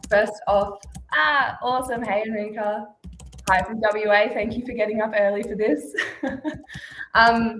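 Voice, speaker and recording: Speaking with an Australian accent, a woman with a fairly high pitch is heard over noticeable background noise and audible room echo. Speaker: channel success manager, webinar host. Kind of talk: webinar presentation. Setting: video webinar.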